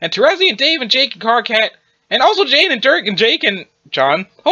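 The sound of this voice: This is an unforced reading voice set against a quiet background.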